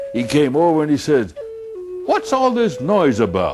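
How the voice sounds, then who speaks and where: A man is speaking. Music plays in the background. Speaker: traditional storyteller. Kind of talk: storytelling to an audience.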